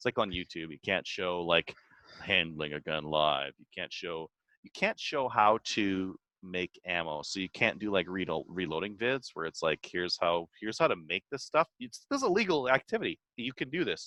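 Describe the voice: A man with a low voice and a bright, sharp tone makes big pitch swings in a dry, close sound with no echo. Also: moderate pace.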